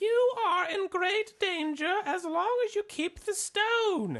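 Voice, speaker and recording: Here is a put-on character voice at an extremely high pitch. It moves at a fairly slow pace. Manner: warning, ominous.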